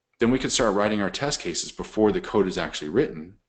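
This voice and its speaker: A man speaks in a fairly low voice. The background is quiet. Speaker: software testing consultant giving a webinar. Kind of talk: webinar tutorial. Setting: online webinar. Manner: fast.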